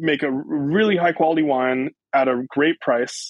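A man with a plain, everyday voice, fairly high in pitch, with ordinary pitch variation and a fairly slow pace. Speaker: winemaker. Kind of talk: interview.

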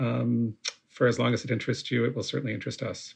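At a fairly quick pace, a man talks with vocal fry against a quiet background. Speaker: podcast guest host. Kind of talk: interview conversation. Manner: halting.

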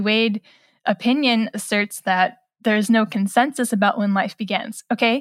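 In a very clean recording with a silent background and a dry, close sound with no echo, a woman uses a plain, everyday voice, fairly high, with fairly even intonation at a moderate pace. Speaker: journalist and author. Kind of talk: interview. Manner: casual, with many fillers.

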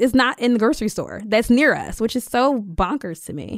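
Someone speaks at a fairly quick pace in a Philadelphia accent, in a very clean recording with a silent background. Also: woman. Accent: Philadelphia American. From US, Philadelphia (Germantown). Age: 30s. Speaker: urban farmer and business owner. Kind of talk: interview. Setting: recording studio.

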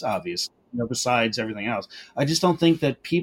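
The man has an unremarkable speaking voice. His intonation is lively. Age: 50s. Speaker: butcher and entrepreneur. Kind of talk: interview.

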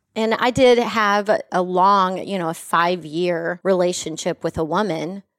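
In a very clean, dry and close recording with no echo and a silent background, a woman with an American accent speaks in an unremarkable speaking voice at a medium pitch, fairly slowly, with ordinary pitch variation and hardly any pauses. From West Texas. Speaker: podcast host, cannabis lifestyle guide. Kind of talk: casual chat. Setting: studio.

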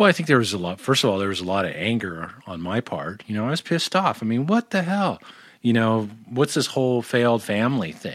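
A man with an American accent talks at a fairly quick pace, his pitch swinging very widely. The recording is very clean, with a silent background. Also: medium pitch for a man. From Southern California (Orange County). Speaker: sound healing practitioner. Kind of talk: interview conversation.

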